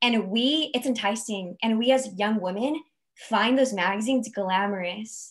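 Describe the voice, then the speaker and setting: A woman with a fairly high pitch speaks at a fairly slow pace with ordinary pitch variation, over a quiet background. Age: 20s. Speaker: guest. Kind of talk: panel discussion on video call. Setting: video call webinar. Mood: warm, earnest. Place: home room. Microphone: video call.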